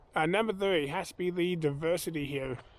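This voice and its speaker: At a fairly quick pace, a man with an American accent talks in a relaxed tone and a fairly high pitch. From US Midwest, Kansas (Wichita area, rural). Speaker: vlogger. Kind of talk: casual vlog talk. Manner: relaxed, many fillers (uh, um).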